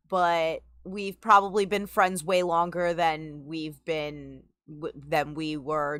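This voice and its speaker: In a New York accent, a woman talks at a very slow pace and a fairly low pitch, with fairly even intonation and big swings in loudness. The recording is very clean, with a silent background. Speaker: gaming streamer. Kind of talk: casual live-stream chat.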